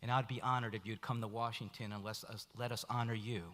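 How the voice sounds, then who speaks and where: With an ordinary speaking voice, a man in an American accent talks at a moderate pace and medium pitch. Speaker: foundation leader presenting an award. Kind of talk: gala speech.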